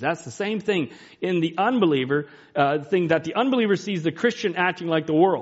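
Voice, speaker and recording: A loud man's voice, high-pitched and very fast, with lively intonation. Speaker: preacher. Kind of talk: sermon. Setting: church.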